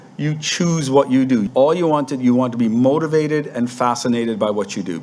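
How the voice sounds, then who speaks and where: Noticeable background noise runs under a man speaking at a moderate pace. His pitch is medium, with ordinary variation. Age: 60s. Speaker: real estate brokerage owner and webinar presenter. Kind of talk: webinar talk. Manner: halting, repeats words.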